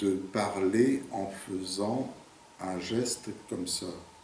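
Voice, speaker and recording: The man's pitch sits fairly low. Noticeable background noise and audible room echo run through the recording. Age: 50s. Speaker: interviewee with a stutter. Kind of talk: documentary interview. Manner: halting, with repetitions and blocks; hesitant, many fillers.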